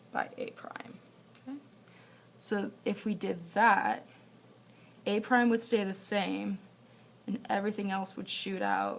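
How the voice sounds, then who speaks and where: A woman with a medium-pitched voice speaks at a fairly slow pace with fairly even intonation against noticeable background noise. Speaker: math teacher. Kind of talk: homework walkthrough tutorial. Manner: casual, thinking aloud with fillers.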